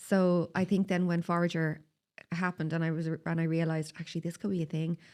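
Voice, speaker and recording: The speaker has a Dublin accent. The pace is very fast. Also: woman, fairly low pitch for a woman. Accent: Dublin Irish. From Ireland, Dublin (Tallaght). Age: 40s. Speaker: skincare business founder. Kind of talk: podcast interview. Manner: animated.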